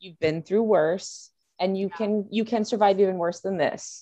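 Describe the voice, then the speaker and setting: A woman speaks with a Californian accent. Her pace is moderate. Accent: Californian American English. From Southern California. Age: 30s. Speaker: college English professor and food blogger. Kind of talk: casual chat.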